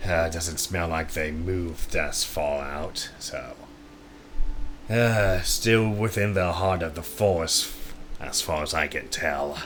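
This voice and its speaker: Putting on a character voice, a man speaks very deep and raspy at a fairly slow pace over clear background noise. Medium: actual play. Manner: measured, questioning.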